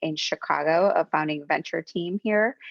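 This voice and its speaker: A woman speaks with a Spanish accent. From Mexico, raised in the US. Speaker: venture capital investor. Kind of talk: interview.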